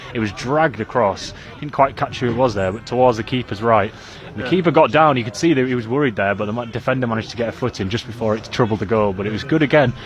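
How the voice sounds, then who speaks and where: Over noticeable background noise, a man with a medium pitch talks at a very fast pace in an energetic tone, with ordinary pitch variation. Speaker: football match commentator. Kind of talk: live radio football commentary. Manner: fast, energetic, fluent.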